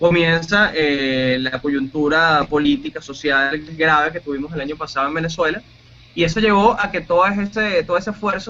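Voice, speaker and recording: A man talks with a fairly high pitch and ordinary pitch variation. He has an ordinary speaking voice. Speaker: radio announcer and producer. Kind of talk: interview answer.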